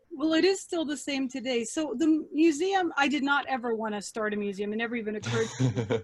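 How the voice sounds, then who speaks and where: With an American accent, a woman talks very fast at a high pitch with lively intonation over noticeable background noise. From grew up overseas as a US military child, Germany. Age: 50s. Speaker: museum founder. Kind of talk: interview.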